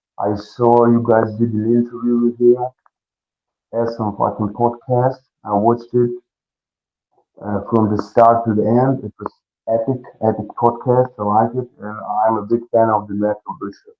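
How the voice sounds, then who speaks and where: A man with a Russian accent at a medium pitch, moderate in pace, with flat, monotone intonation, long and frequent pauses, and music playing in the background. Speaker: pro wrestler. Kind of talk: interview.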